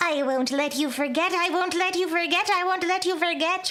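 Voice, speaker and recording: A female-sounding, put-on character voice pitched extremely high for a woman. Light background noise sits behind it. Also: moderate pace. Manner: menacing, eerie.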